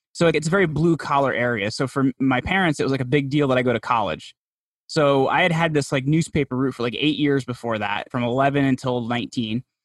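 A man talks very fast in a New Jersey accent at medium pitch with ordinary pitch variation. The sound is dry and close with no echo, over a quiet background. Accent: New Jersey American. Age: 30s. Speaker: podcast host and PR agency founder. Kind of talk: interview conversation.

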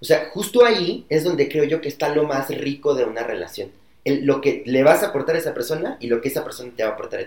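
A man talks very fast at a fairly high pitch, somewhat breathy. His loudness swings widely while his pitch varies in an ordinary way. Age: 20s. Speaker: corporate customer experience employee. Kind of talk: casual chat.

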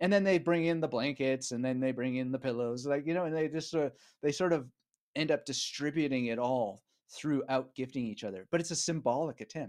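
With a Canadian accent and a fairly high pitch, a man talks fairly quickly in an ordinary speaking voice with ordinary pitch variation against a quiet background. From Canada, Vancouver area (British Columbia). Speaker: author and memory coach. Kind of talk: casual interview.

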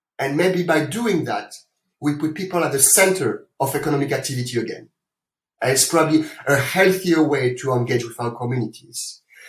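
This man's voice is fairly high-pitched and somewhat breathy. He talks fairly quickly, and his pitch varies in an ordinary way. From France. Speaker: corporate sustainability executive. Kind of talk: interview.

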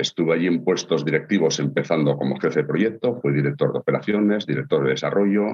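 Very fast, lively speech with hardly any pauses and very even loudness. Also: man, very deep, low pitch for a man. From Gijón, Asturias, northern Spain. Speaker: industrial consultant. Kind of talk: interview.

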